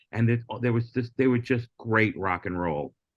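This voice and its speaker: The background is quiet as a man speaks in an unremarkable speaking voice, fairly low in pitch. His pace is moderate and his pitch varies an ordinary amount. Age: 60s. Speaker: comedian and former late-night talent booker. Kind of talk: casual podcast interview.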